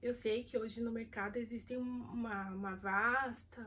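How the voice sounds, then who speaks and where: A woman talks at a fairly high pitch with monotone, flat intonation. Noticeable background noise can be heard. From Brazil, São Paulo city. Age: 30s. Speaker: kitchen worker interviewee. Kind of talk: interview testimony.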